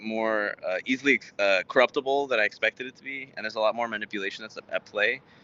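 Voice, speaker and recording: A man talks fairly quickly in a medium pitch, his intonation fairly even. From Texas, Houston, Mexican household. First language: Spanish. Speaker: startup founder, software engineer. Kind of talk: interview. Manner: halting, many fillers.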